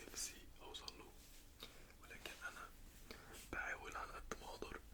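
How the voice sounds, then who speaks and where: A man whispers at a moderate pace against noticeable background noise. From Egypt. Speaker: ASMR creator. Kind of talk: ASMR roleplay. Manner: whispered, soft-spoken.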